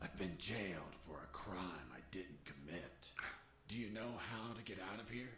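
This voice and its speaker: A man uses a put-on character voice with a fairly low pitch at a moderate pace. Background noise is clearly audible. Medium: video game. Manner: dry, laconic.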